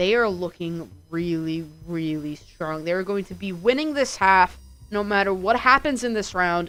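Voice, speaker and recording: Her intonation is lively. A woman speaks at a medium pitch. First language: not English. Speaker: esports caster. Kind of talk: live commentary. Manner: animated.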